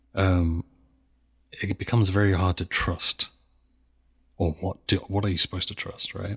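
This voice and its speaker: In a dry, close recording with no echo, a man with a very deep, low pitch speaks at a moderate pace in a monotone, flat way, leaving long, frequent pauses. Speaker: gaming content creator. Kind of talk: interview answer.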